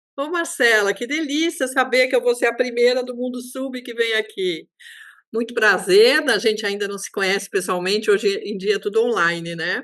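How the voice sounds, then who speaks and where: A woman's fairly high voice at a moderate pace, with big swings in loudness and ordinary pitch variation. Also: quiet background. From Brazil, São Paulo. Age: 60s. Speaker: underwater photographer. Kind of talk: interview, personal storytelling. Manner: animated.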